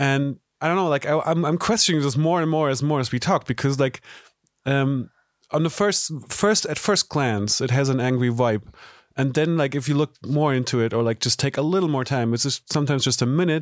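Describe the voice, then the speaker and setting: A man with a German accent, fairly high-pitched, fairly quick, with ordinary pitch variation, very even loudness, and a dry, close sound free of echo. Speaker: podcast host. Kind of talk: interview. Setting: video call.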